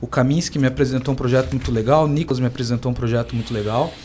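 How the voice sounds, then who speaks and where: There is noticeable background noise. Through it, a man speaks at medium pitch. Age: 20s. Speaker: professional swimmer. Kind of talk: radio panel discussion.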